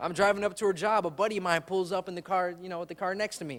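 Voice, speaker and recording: The speaker talks at a very fast pace in a Chicago accent. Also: man. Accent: Chicago urban American. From Chicago, Humboldt Park. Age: 20s. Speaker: comedian. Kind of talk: stand-up.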